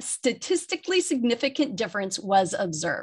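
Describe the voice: At a moderate pace, a woman with a fairly high pitch and a fairly bright tone speaks with big pitch swings and a slightly husky edge.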